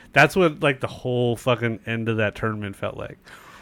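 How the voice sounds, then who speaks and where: A man talks in an American accent. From San Diego, California. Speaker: podcast host. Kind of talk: casual interview chat. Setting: video call. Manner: loud, boisterous at times.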